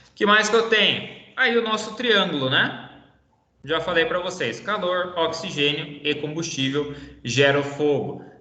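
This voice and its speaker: Against audible room echo, a man with a high pitch and lively intonation speaks at a fairly slow pace. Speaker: teacher. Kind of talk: online lecture.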